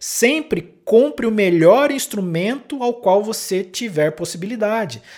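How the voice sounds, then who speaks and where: A man speaks at a fairly slow pace with very wide pitch swings. The recording is very clean, with a silent background. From interior of São Paulo state, Brazil. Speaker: podcast host, saxophonist and music teacher. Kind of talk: solo podcast monologue, educational talk. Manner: hesitant with frequent fillers.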